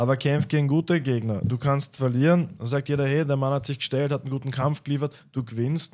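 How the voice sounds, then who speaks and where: Against a quiet background, a man speaks at a fairly quick pace with hardly any pauses. He has an unremarkable speaking voice, fairly high in pitch, with fairly even intonation. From Lower Austria. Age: 30s. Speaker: MMA fighter; podcast guest. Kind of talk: casual chat. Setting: studio. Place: studio. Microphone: studio mic.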